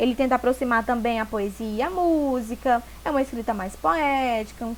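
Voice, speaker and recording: A woman talks in a high pitch, varying it in an ordinary way. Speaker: teacher. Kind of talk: lecture. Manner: fast; animated.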